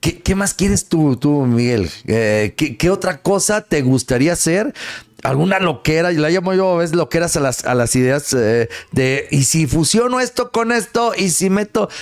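A man speaks in a high pitch with very wide pitch swings. The background is quiet. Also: moderate pace. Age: 40s. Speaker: radio host. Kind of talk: casual chat. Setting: studio. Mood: friendly, animated. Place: studio. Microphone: studio mic.

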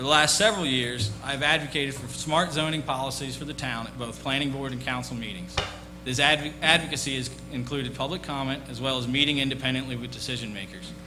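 A man at medium pitch with an American accent, very fast pace and fairly even intonation, amid audible room echo and noticeable background noise. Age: 30s. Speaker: town council candidate. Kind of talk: candidate opening statement. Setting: public forum with audience. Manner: formal.

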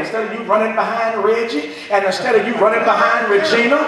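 The speaker goes at a very fast pace with fairly even intonation, over noticeable background noise and strong room echo. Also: man. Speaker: preacher. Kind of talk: sermon. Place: church.

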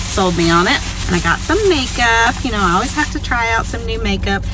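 The sound is dry with no echo as a woman speaks over noticeable background noise. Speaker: vlogger. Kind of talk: casual vlog chat. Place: car. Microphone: phone near.

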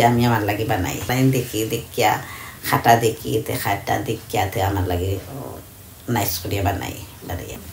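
Audible room echo and faint background noise surround the woman as she talks. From Bangladesh. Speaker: tailor. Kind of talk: interview answer. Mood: relaxed, content. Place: home room. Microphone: phone near.

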